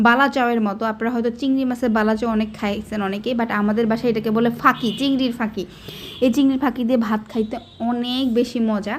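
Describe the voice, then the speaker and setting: The intonation is monotone and flat. Noticeable background noise runs behind the voice. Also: woman, fairly high pitch for a woman. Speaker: lifestyle vlogger. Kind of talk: casual vlog narration while cooking.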